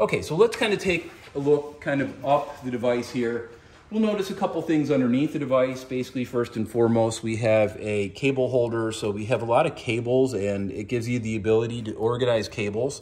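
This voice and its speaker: A man moves along fairly briskly, with pitch that shifts in the ordinary way. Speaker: product reviewer. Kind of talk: product demonstration. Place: home room.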